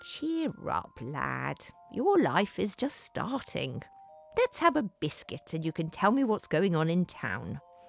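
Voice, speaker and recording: A put-on character voice speaks at a middle pitch and a fairly slow pace. Faint music plays in the background. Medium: read story. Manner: warm, avuncular.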